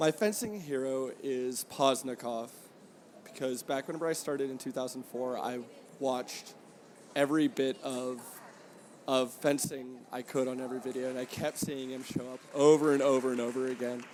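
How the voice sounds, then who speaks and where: A man with an American accent and an unremarkable speaking voice, medium in pitch, at a moderate pace with fairly even intonation. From Boston. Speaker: fencing referee. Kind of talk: short interview. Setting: tournament venue.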